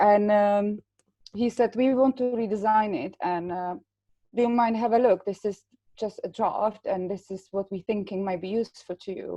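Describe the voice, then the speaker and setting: A woman's fairly high voice with a dark, mellow tone and a non-native accent. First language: not English. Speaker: patient partner. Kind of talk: webinar discussion.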